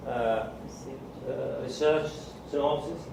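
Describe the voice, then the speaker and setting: Through audible room echo and noticeable background noise, a man speaks at a fairly high pitch and a moderate pace. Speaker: medical lecturer. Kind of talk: lecture.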